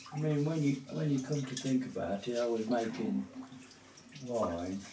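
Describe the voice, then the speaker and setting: A man with medium pitch speaks with lively intonation. Noticeable background noise and audible room echo are present. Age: 80s+. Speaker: host's father. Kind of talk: casual chat.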